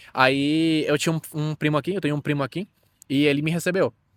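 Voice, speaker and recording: The pace is very fast and the intonation fairly even. The recording is very clean, with a silent background and a dry, close sound with no echo. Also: man. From Venezuela. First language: Spanish (speaking Portuguese). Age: 20s. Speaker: immigrant interviewee. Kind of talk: interview. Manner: halting.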